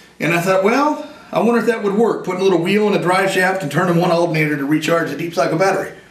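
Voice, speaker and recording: At a very fast pace, a man talks in a high pitch with ordinary pitch variation and an animated tone. Audible room echo and noticeable background noise fill the recording. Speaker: inventor and war veteran. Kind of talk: interview.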